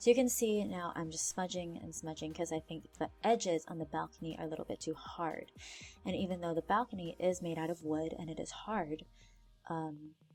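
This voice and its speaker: Over music in the background, a woman speaks with fairly low pitch and ordinary pitch variation. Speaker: art teacher. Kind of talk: tutorial. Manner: fast.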